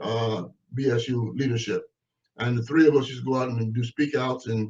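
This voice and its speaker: Somewhat breathy, a man with an American accent talks at a medium pitch. He moves at a fairly quick pace with fairly even intonation. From US West Coast, Oakland, California. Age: 70s. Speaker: activist and former political prisoner. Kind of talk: interview.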